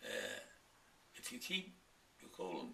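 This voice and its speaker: A man's voice carries audible room echo, with noticeable background noise behind it. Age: 80s+. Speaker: longevity author. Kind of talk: interview.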